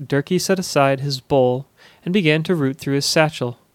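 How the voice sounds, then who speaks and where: In a dramatic tone, a man with a fairly high pitch and ordinary pitch variation speaks at a moderate pace, with a dry, close sound with no echo, in a very clean recording with a silent background. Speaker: fiction podcast narrator. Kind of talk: scripted dramatic narration of a fantasy story. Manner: dramatic, storytelling cadence with character voices.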